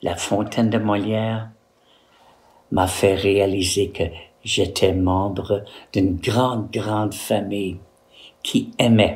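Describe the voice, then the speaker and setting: A man speaks very slowly with a somewhat breathy voice and flat, monotone intonation. He leaves long, frequent pauses. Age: old. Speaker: retired postal worker and art teacher. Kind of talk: personal testimony to camera.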